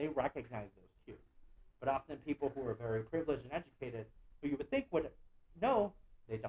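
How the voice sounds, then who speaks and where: Somewhat breathy male speech at a very fast pace, medium in pitch for a man. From Guatemala City, raised in the US from age four. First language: Spanish. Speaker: visual artist. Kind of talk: artist lecture. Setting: online lecture.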